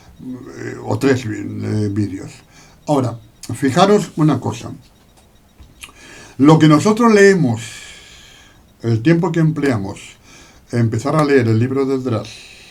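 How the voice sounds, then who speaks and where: A man's medium-pitched voice with lively intonation, a very slow pace and long, frequent pauses, in audible room echo. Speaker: Bible teacher. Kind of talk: Bible study lecture. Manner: hesitant, many fillers.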